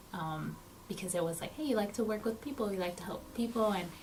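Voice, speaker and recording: A woman with an American accent, ordinary pitch variation, noticeable background noise and audible room echo. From South Texas. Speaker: social worker. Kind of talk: interview. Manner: hesitant, many um fillers.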